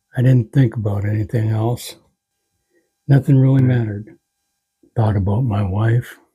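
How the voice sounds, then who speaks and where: At a moderate pace and medium pitch, a man speaks in a dark, mellow, somewhat breathy voice with fairly even intonation. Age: 60s. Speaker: heart attack survivor; father and grandfather. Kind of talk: personal life story to camera. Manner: reflective, heartfelt.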